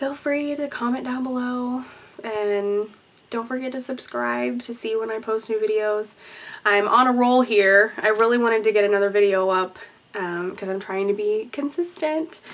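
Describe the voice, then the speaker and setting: A woman with a fairly high pitch keeps a moderate pace while noticeable background noise carries on. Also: ordinary pitch variation. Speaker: YouTube vlogger and singer. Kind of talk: casual chat.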